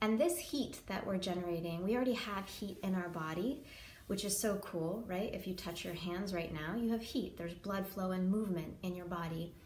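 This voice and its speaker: With audible room echo and noticeable background noise, a woman of medium pitch talks at a moderate pace with ordinary pitch variation. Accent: American. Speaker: yoga teacher. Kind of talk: tutorial. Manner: hesitant, many filler ums.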